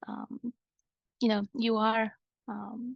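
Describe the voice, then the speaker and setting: A woman with a Croatian accent against a quiet background, the sound dry and close with no echo. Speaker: iOS developer and conference speaker. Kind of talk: conference-style talk. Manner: hesitant, many fillers.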